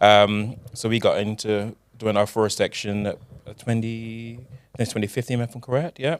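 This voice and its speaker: In a Barbadian accent, a man speaks at a medium pitch with fairly even intonation. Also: moderate pace. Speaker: carnival costume designer. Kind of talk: casual chat.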